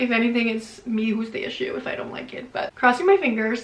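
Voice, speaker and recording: Audible room echo and noticeable background noise accompany speech at a fairly quick pace. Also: woman. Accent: non-native. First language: not English. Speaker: book youtuber. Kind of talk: casual vlog talk to camera. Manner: animated.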